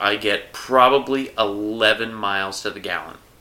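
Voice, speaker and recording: A man's fairly low voice, a normal speaking voice, at a fairly slow pace with ordinary pitch variation. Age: 40s. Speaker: podcast co-host. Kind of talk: casual chat.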